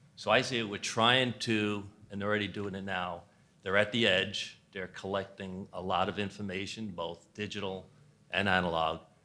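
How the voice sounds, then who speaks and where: A man with a New York accent speaks at a moderate pace in a fairly low pitch, with a bright, sharp tone and monotone, flat intonation, on a very clean recording with a silent background. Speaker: infrastructure business executive. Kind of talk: panel discussion.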